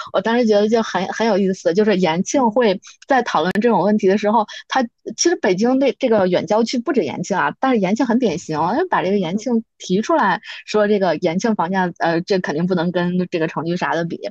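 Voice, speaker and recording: A woman talks at a fairly quick pace with lively intonation and a medium pitch. The sound is dry and close, with no echo. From Beijing, Yanqing district (rural outskirts). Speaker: podcast guest. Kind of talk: casual chat. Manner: hesitant, many fillers.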